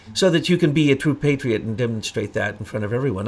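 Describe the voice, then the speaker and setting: A man with an American accent talks at a medium pitch with lively intonation. The recording is very clean, with a silent background. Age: 60s. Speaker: online talk show host. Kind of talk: interview discussion. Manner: halting.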